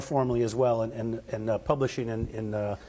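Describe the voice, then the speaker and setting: A somewhat breathy man at a fairly quick pace. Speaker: physician and medical director presenting research. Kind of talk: conference presentation. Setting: conference room with live audience. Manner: soft-spoken; halting, many fillers and restarts.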